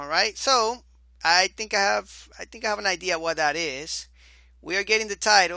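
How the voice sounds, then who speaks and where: A man with a high, bright, sharp voice projects it loudly at a moderate pace with ordinary pitch variation. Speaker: programming instructor. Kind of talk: screencast tutorial. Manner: casual, thinking aloud.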